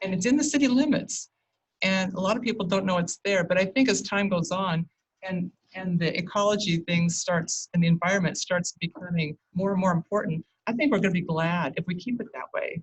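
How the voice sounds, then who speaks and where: Her American accent is clear as a woman talks at a fairly quick pace. Her voice is medium in pitch, somewhat breathy, with ordinary pitch variation. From St. Helens, Oregon. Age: 60s. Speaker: public commenter. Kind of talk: public testimony. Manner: halting.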